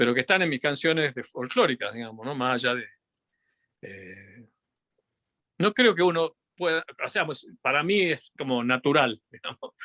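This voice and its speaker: A man with a slight Tucumán accent, fairly high in pitch, bright and sharp in tone, with lively intonation, big swings in loudness, a moderate pace and long, frequent pauses, in a very clean recording with a silent background and a dry, close sound with no echo. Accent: Tucumán Argentine Spanish, somewhat. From Argentina, Tucumán. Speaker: physicist and musician. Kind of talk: interview conversation. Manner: halting, many fillers and restarts.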